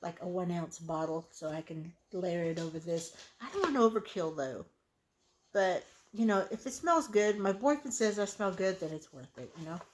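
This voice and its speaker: A moderately paced woman's voice. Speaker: beauty haul vlogger. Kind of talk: casual vlog chat. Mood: relaxed, self-mocking. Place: home room. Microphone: phone near.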